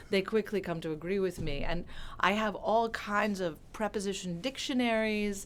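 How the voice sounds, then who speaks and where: A woman with an American accent talks at a moderate pace and medium pitch, with ordinary pitch variation. Noticeable background noise runs underneath. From California. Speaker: translator and professor. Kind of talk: interview.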